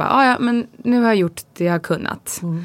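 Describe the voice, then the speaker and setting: Here is an unremarkable speaking voice. It moves at a fairly quick pace with ordinary pitch variation. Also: woman. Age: 30s. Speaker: podcast co-host, pregnant mother. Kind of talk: casual chat.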